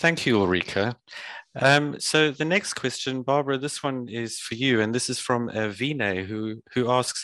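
A man of medium pitch speaks at a moderate pace with ordinary pitch variation and a bright, sharp tone, the sound dry and close with no echo. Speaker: webinar moderator. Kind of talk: webinar introduction and Q&A moderation.

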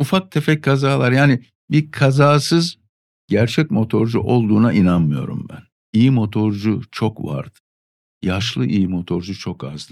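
At a fairly slow pace, a man talks with very wide pitch swings around a medium pitch. His loudness also swings widely. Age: 50s. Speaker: veteran motorcyclist. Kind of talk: casual chat. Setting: studio.

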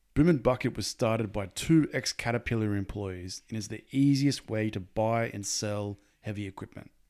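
A man with an Australian accent, fairly low-pitched, at a moderate pace, on a very clean recording with a silent background. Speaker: podcast host. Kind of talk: interview.

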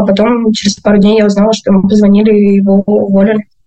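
At a very fast pace, a woman talks in a medium pitch with monotone, flat intonation. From Podolsk, Moscow region. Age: 20s. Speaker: former school teacher, interviewee. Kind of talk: personal testimony.

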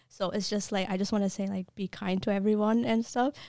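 A woman with an American accent speaks very fast at a fairly high pitch, her tone dark and mellow. The recording is very clean with a silent background and a dry, close sound with no echo. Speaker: nursing student. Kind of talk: casual interview.

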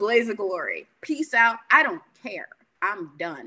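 A woman speaks fairly slowly at a fairly high pitch, her voice swinging very widely in pitch. Her tone is bright and sharp, with vocal fry. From Haitian heritage. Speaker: speech-language pathologist, podcast host. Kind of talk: interview.

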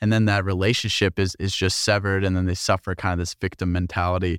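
A man's plain, everyday voice, fairly low and fairly quick, with an American accent, on a very clean recording with a silent background and a dry, close sound with no echo. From New Jersey. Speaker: podcast host. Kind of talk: casual interview.

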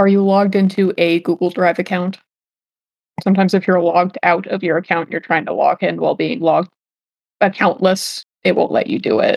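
Speaking fairly quickly with vocal fry, a woman has a medium pitch and ordinary pitch variation in a dry, close sound with no echo. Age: 20s. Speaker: role-playing game player. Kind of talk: tabletop role-play session.

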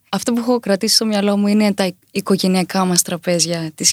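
A woman speaks with fairly even intonation. The recording is very clean, with a silent background. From Crete, Chania. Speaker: singer. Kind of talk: interview. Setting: studio.

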